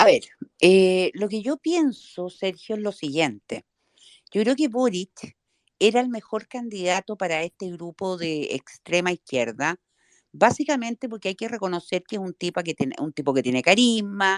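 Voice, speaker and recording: The recording is very clean with a silent background. A woman speaks with very wide pitch swings. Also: medium pitch for a woman, moderate pace, dry, close sound with no echo. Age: 60s. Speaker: politician. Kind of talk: interview.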